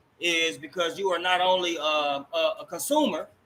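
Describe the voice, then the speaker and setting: A man speaks loudly at a high pitch. His tone is bright and sharp. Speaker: talk show host. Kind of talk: interview.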